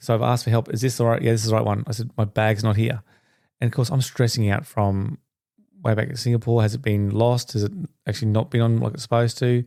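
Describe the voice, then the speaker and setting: A man with an Australian accent, medium pitch and a dark, mellow tone, at a very fast pace. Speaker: podcast host. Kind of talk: personal storytelling monologue. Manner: animated.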